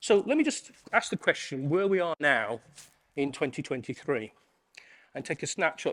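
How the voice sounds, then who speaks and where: A man speaks with an English accent at a moderate pace. The recording is very clean with a silent background, and the sound is dry and close with no echo. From England. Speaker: conference keynote speaker. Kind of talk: keynote talk.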